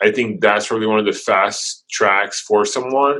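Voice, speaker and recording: This man's tone is bright and sharp. His intonation is fairly even. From Brazil. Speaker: videographer, business owner. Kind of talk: interview.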